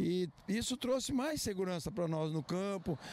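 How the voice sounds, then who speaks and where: Lively intonation and a Brazilian accent come through a dry sound with no echo and light background noise. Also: man. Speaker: farmer. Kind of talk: news interview. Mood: calm, earnest. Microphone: handheld.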